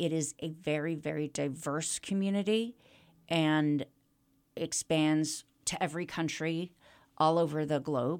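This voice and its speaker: A woman with an American accent has a very deep, low voice and fairly even intonation. She speaks fairly slowly, with long, frequent pauses. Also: very clean recording, silent background. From US Midwest (Kansas City) and Toronto. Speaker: rabbi. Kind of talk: interview. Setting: studio.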